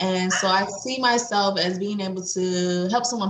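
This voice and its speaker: Audible room echo surrounds a woman's voice. Her pitch sits in the medium range with ordinary variation. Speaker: doula. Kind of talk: interview. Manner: loud; halting.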